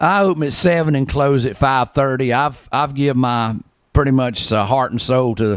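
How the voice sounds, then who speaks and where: Ordinary pitch variation from a man with a North Carolina accent, at a fairly quick pace, on a very clean recording with a silent background. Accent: Southern US (North Carolina). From US South, western North Carolina. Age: 60s. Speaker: barber, shop owner. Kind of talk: interview. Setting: barber shop. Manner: halting, many fillers.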